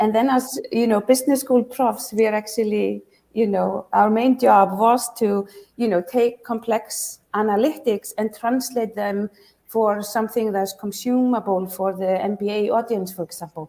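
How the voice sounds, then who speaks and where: A woman speaks with an Icelandic accent. Her pitch is fairly high and her intonation fairly even. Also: moderate pace. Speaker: startup founder and business school professor. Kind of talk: pitch competition Q&A.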